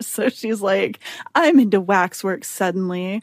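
A woman with an unremarkable speaking voice at a fairly slow pace. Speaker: podcast host. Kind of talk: casual chat.

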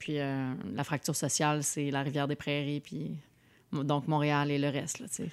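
A very deep, low female voice, a woman on a very clean recording with a silent background. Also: fairly even intonation, fairly slow pace. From Montreal, north of the island. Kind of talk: casual political chat.

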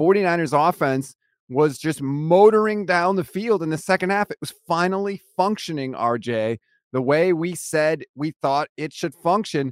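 A man speaks at a moderate pace with very wide pitch swings. The sound is dry and close, with no echo. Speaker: sports podcast host. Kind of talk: casual chat.

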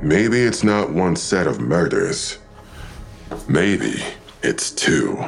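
A man puts on a low-pitched character voice with vocal fry. He talks at a very slow pace with big pitch swings.

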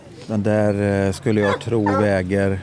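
The speaker is a man. He has a dark, mellow tone. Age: 50s. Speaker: hunter. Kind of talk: interview. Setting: outdoors on a hunting stand. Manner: quiet, hushed.

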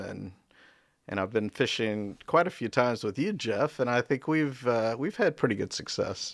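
A man's plain, everyday voice with an American accent and ordinary pitch variation. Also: very clean recording, silent background. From North Carolina, Raleigh. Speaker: museum exhibition designer. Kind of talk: casual interview.

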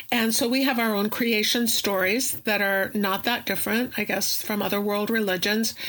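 Noticeable background noise sits behind a woman speaking at a moderate pace in a fairly high pitch, her intonation monotone and flat and her loudness very even. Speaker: professor and Santeria practitioner. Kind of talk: interview explanation.

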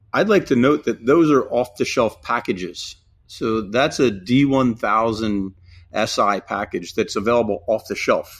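Very clean recording, silent background. A man with a normal speaking voice and an American accent talks at a fairly slow pace, at medium pitch with ordinary pitch variation. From US Northeast, New Jersey. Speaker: EV powertrain company representative. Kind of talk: casual interview.

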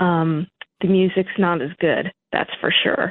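The speaker is a woman with an American accent. Her pitch sits in the medium range. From New York. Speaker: caller, former police officer. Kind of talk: heated debate. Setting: phone call.

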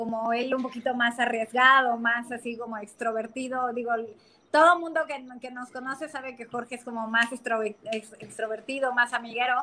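A woman speaks at a moderate pace. Her pitch is high and her intonation fairly even. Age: 30s. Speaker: financial advisor. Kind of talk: casual chat.

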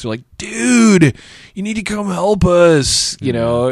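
This is a put-on character voice. Its pitch swings very widely. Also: man, high pitch for a man, fairly slow pace. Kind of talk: laid-back surfer slang. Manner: laid-back, casual.

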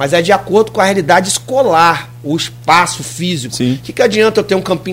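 A man at a fairly quick pace with a high pitch, music playing in the background. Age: 40s. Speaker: municipal sports director. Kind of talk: radio interview. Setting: radio studio.

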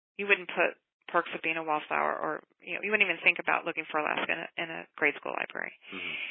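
A woman speaks very fast, her loudness swinging widely. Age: 50s. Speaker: middle school librarian. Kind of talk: interview.

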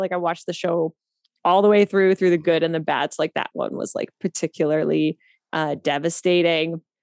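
In a Canadian accent, a woman with a fairly low pitch and an ordinary speaking voice talks at a fairly quick pace. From Canada, East Coast. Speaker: actress and writer. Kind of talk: casual interview chat.

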